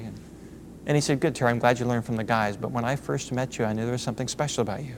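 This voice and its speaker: Medium pitch from a man, with ordinary rises and falls. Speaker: motivational speaker. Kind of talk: motivational talk. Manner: fast.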